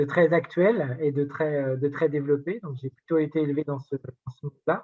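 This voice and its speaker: The man speaks fairly high in pitch and at a moderate pace. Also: fairly even intonation. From rural France. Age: 40s. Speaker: digital inclusion advocate. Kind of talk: interview conversation. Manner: hesitant, many fillers.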